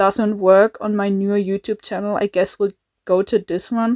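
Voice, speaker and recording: A woman speaks at a moderate pace with a German accent, her pitch medium and her intonation fairly even. The sound is dry and close, with no echo. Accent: German accent, she calls it bad. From Germany. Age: 20s. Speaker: YouTuber, animator. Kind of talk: casual vlog talk. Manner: halting, many fillers and repeats.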